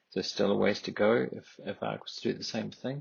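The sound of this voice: A man speaks at a moderate pace in a fairly low voice, with vocal fry and a husky, rough edge.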